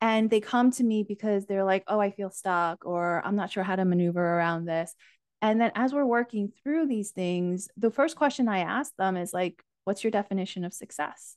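The background is quiet, and the sound is dry and close with no echo. A woman speaks at a medium pitch with ordinary pitch variation. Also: moderate pace. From US, immigrated from Asia at age four. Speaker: life coach. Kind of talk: casual interview chat.

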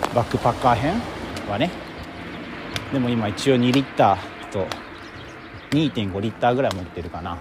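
A man speaks at a moderate pace with big swings in loudness and long, frequent pauses, over noticeable background noise. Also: medium pitch for a man, lively intonation. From Japan, Kobe. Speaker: podcaster, hiker. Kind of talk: casual walking monologue. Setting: outdoors, walking trail. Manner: casual, chatty with frequent laughs.

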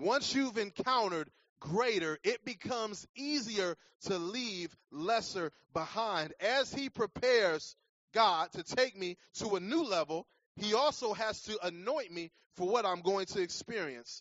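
Speaking at a fairly slow pace, a man with a high pitch uses lively intonation and an animated tone. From Cleveland, Ohio. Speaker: guest preacher and sports chaplain. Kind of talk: sermon. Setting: church with live audience. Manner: animated, rising preacher's cadence, call-and-response, shouted emphasis.

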